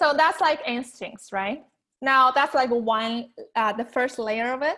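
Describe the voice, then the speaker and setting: A woman speaks in a raised, projected voice with a bright, sharp tone and high pitch, at a fairly slow pace with ordinary pitch variation, in a very clean recording with a silent background. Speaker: weight loss coach and author. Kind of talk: interview.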